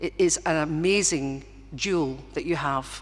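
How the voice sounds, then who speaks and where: In a strong Glaswegian accent, a woman talks with vocal fry at a very deep, low pitch. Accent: Glaswegian Scottish, still strong. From Scotland, Govan in Glasgow. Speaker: honorary graduate. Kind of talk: graduation acceptance speech. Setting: concert hall with audience. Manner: halting, with fillers and restarts.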